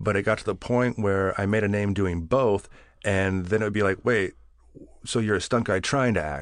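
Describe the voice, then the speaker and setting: A man with an American accent speaks at a fairly low pitch and a moderate pace. His pitch variation is ordinary, and the background is quiet. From California, Bakersfield. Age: 40s. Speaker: actor and stuntman. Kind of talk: casual chat.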